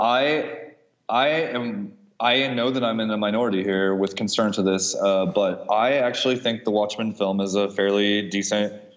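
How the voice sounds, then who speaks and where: A man with a Midwestern American accent and fairly low pitch talks at a moderate pace, his intonation fairly even and loudness very even. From US Midwest, Kansas City. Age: 40s. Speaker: artist. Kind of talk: casual chat.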